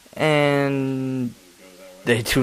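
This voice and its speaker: The voice is quiet, with noticeable background noise around it. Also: man. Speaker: sports commentary youtuber. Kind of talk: casual rant. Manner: quiet, chill; monotone.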